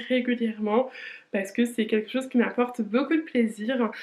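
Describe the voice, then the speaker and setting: A woman speaks at a moderate pace in a fairly high voice with monotone, flat intonation. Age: 20s. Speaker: lifestyle vlogger. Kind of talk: casual vlog monologue. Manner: hesitant, many fillers.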